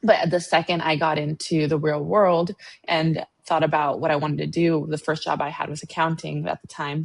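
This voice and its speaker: At a moderate pace, a woman speaks in a very deep, low monotone with vocal fry and flat intonation. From Latin American immigrant, raised in the US. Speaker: financial planner. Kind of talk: podcast interview.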